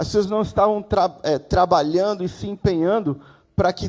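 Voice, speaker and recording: At a moderate pace, a man speaks in a high voice. His pitch varies in an ordinary way. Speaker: guest preacher. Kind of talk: sermon. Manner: animated.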